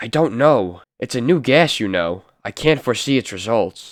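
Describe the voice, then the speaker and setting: A man speaks in a put-on character voice, raspy and anxious, with lively intonation at a medium pitch. His pace is moderate, and the recording is very clean with a silent background. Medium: read story.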